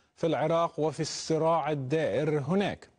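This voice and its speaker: A man speaks with a high pitch at a fairly slow pace. The background is quiet. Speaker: TV show host. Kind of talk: interview. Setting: studio. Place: studio. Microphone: lapel.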